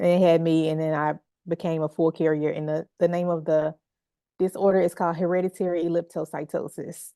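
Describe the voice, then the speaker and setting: A woman speaks fairly quickly with a Southern US accent, her fairly low voice dark and mellow in a flat monotone. The sound is dry and close with no echo, over a quiet background. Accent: Southern twang. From Memphis, Tennessee. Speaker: healing artist. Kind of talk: interview conversation.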